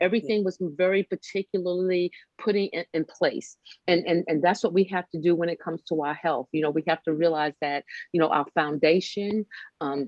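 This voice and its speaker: A woman speaks at a fairly quick pace in a normal speaking voice, her intonation fairly even. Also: fairly low pitch for a woman. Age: 60s. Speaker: wellness podcast host. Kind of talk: casual interview chat.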